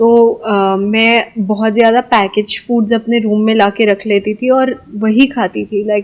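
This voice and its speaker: Hardly pausing, a woman speaks at a fairly high pitch in a monotone, flat intonation. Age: 20s. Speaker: startup founder. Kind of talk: interview.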